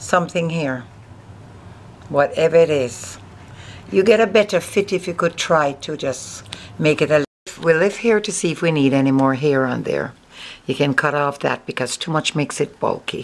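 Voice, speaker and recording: Lively intonation in a Jamaican accent at a moderate pace, broken by long, frequent pauses. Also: woman, very deep, low pitch for a woman. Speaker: hair and beauty vlogger. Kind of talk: tutorial. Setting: filmed by a camera operator. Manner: casual, chatty.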